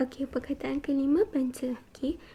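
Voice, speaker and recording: Whispering at a moderate pace, a woman is soft-spoken. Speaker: ASMR creator. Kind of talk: ASMR role-play medical examination. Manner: soft-spoken, whispering.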